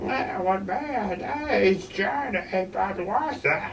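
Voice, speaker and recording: Clear background noise under a very slow, put-on character voice. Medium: read story.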